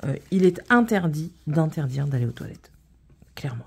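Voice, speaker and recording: A woman speaks at a fairly slow pace with a dark, mellow tone. Her voice is somewhat breathy. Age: 30s. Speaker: vlogger. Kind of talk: casual chat. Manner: hesitant, many fillers.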